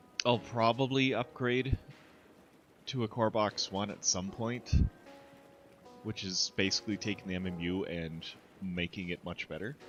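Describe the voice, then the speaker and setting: Over music in the background, the speaker goes at a moderate pace with ordinary pitch variation and long, frequent pauses. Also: man, fairly low pitch for a man. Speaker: 3D printing streamer. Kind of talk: casual livestream chat. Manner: casual, filler-heavy.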